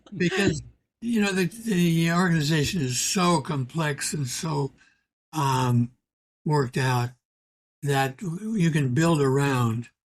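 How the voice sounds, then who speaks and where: The speech moves at a very slow pace with long, frequent pauses and lively intonation. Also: man, fairly high pitch for a man. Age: 80s+. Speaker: historian, emeritus history professor. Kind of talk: podcast interview answer. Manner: soft-spoken; quiet, reasoned.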